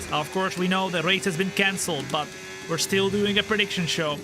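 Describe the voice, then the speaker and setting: Over noticeable background noise, a man with a high pitch speaks in a raised, projected voice with an animated tone. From Netherlands. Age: 20s. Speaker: gaming streamer. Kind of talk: live gameplay commentary. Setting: studio.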